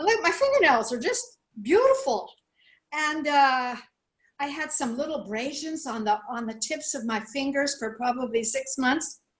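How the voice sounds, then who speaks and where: Her intonation lively and her pitch high, a woman speaks at a moderate pace. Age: 70s. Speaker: product testimonial giver. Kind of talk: testimony. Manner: animated.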